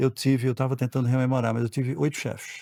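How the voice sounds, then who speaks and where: A man's medium-pitched voice with a dark, mellow tone, recorded dry and close with no echo over a silent background in a very clean recording. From Brazil, Pernambuco, raised also in Rio and São Paulo. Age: 60s. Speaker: board member. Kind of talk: podcast interview.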